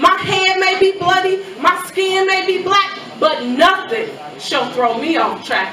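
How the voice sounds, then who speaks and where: A woman's raised, projected voice with an American accent, extremely high in pitch and lively in intonation, at a very slow pace amid audible room echo and noticeable background noise. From US Midwest, Chicago. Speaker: spoken word poet. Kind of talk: spoken word poetry performance.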